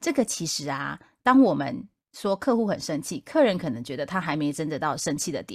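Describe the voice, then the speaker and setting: A woman speaks in a very deep, low voice at a fairly quick pace, her pitch swinging very widely. The recording is very clean, with a silent background. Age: middle-aged. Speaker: podcast host, customer service veteran. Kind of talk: casual chat.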